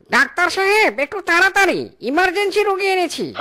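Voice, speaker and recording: A cartoonish character voice at an extremely high pitch, moderate pace. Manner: teasing, smug.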